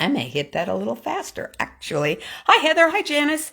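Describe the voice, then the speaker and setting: A woman is speaking. She talks at a moderate pace. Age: 60s. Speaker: vlogger. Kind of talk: casual vlog monologue. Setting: on a treadmill.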